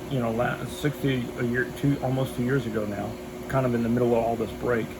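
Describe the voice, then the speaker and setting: A man at a medium pitch and a fairly quick pace, with noticeable background noise. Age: 60s. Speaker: military veteran vlogger. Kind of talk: casual vlog monologue. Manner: rambling with frequent fillers.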